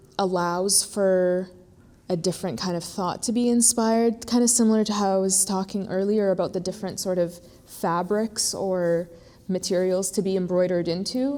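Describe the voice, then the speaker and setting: Using a dark, mellow tone, a woman with an American accent speaks at a moderate pace and medium pitch with fairly even intonation. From born in Iraq, raised abroad from a very young age. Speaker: visual artist. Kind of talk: artist talk interview. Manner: halting, many fillers.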